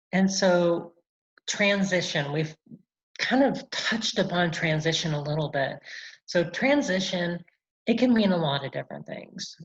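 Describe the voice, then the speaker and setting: A woman with a fairly low, somewhat breathy voice speaks fairly slowly and with lively intonation, leaving long, frequent pauses. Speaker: military non-commissioned officer and presenter. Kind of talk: presentation with slides.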